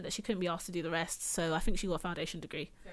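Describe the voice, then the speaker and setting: A woman speaks with a London accent. The recording is very clean, with a silent background. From England, Caribbean heritage. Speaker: podcast host. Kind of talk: casual chat.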